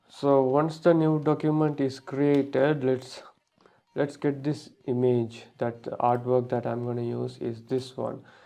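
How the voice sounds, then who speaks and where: A non-native accent at a fairly slow pace. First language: not English. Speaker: graphic design tutor. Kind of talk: tutorial. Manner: halting.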